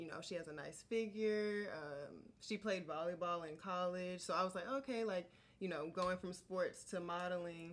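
An ordinary speaking voice: a woman with an American accent, at medium pitch with ordinary pitch variation. She talks at a moderate pace with hardly any pauses. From Georgia, US South. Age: 20s. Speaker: model. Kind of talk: casual chat.

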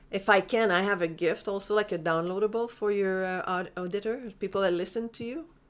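With a Quebec accent, a woman speaks in fairly even intonation. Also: very clean recording, silent background. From Quebec, Montreal. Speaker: life coach. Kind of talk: interview.

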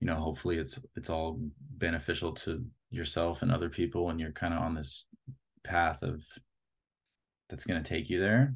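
Over a quiet background, a man with a very deep, low pitch and vocal fry talks at a fairly quick pace. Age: 30s. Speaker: art director and photographer. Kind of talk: casual interview.

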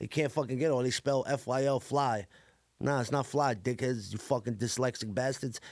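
At a moderate pace, a man with a Brooklyn accent speaks at medium pitch with fairly even intonation. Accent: New York City (Brooklyn). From Brooklyn, New York (Coney Island). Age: 30s. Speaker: rapper. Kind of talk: casual interview chat.

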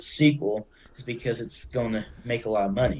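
This is a man speaking. He talks at a fairly quick pace. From Arkansas. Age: 20s. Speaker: podcaster. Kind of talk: casual chat.

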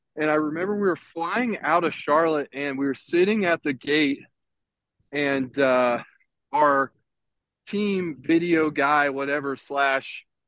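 This man has an unremarkable speaking voice, pitched fairly high. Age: 30s. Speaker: professional baseball pitcher. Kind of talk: casual chat. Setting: video call, walking outdoors.

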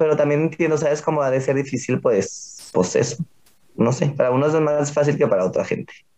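The man's voice has a dark, mellow tone and a fairly high pitch, delivered at a fairly quick pace. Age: 20s. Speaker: drag performer. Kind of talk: casual interview chat.

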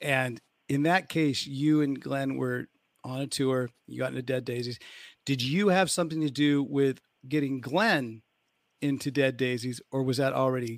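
A man with an American accent, an ordinary speaking voice, medium pitch and fairly even intonation. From United States. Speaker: podcast host and musician. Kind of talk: casual interview on live stream. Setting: hotel room on tour, remote live stream.

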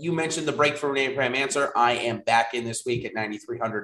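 This man has a fairly high pitch. He speaks with an American accent. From US Northeast. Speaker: fantasy sports analyst. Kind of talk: live streamed analysis show. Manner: fast.

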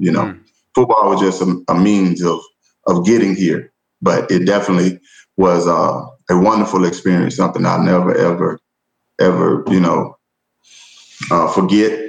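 In a Southern US accent, a man with a very deep, low pitch talks at a moderate pace, leaving long, frequent pauses. His loudness is very even and his intonation fairly even. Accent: Southern US (Georgia). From US South, rural Georgia. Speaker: educator, assistant principal. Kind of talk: casual interview conversation.

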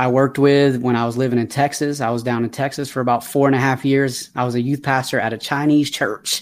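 A man speaks with a slight Southern US accent. His pace is moderate. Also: very clean recording, silent background. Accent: slight Southern twang. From Atlanta, Georgia, US South. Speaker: youth mentor and speaker. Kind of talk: life story interview. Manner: energetic.

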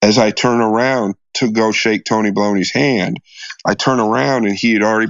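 A man talks at a moderate pace with a fairly low pitch and ordinary pitch variation. It is a normal speaking voice. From US Midwest, Des Moines, Iowa. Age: 40s. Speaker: pool player and gambler. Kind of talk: storytelling interview.

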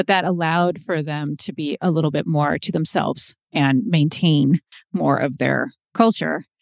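With an American accent, a woman talks at a moderate pace in a very deep, low pitch with vocal fry and ordinary pitch variation, the sound dry and close with no echo. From US Pacific Northwest, Seattle. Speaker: podcast host and travel hacker, guest. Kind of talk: interview, personal storytelling.

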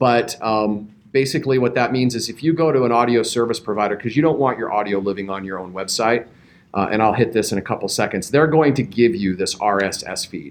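A man speaks at a fairly quick pace with a medium pitch and ordinary pitch variation. He has a normal speaking voice. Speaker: professional podcaster for a health system. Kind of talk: panel discussion. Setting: live recording at a conference.

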